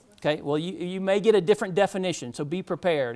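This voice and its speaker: Delivered at a very fast pace with a slight Georgia accent, the speech sits on a very clean recording with a silent background. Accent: slight Southern US (Georgia). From US South, Georgia. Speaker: medical technologist, lecturer. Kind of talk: lecture. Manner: casual, many fillers (um).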